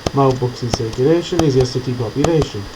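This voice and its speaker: Over noticeable background noise, a man with an English accent speaks very fast at a medium pitch with ordinary pitch variation. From England, not the south. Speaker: gaming tutorial creator. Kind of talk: gameplay tutorial. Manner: casual, conversational.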